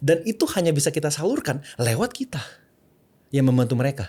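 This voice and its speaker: A man with an English accent talks at a very fast pace, his pitch swinging very widely. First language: English (speaking Indonesian). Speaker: content creator and personal branding consultant. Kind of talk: podcast interview. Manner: mixes English and Indonesian freely.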